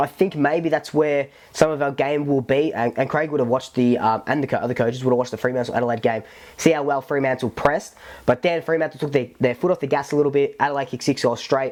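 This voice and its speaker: In an Australian accent, a man speaks at a very fast pace. His pitch is fairly high and his intonation fairly even. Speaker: football fan podcaster. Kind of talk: casual talk to camera. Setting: lav mic recording. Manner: casual, rambling, filler-heavy.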